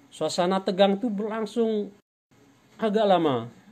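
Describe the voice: With a slightly mellow tone, a man talks slowly. His pitch is high.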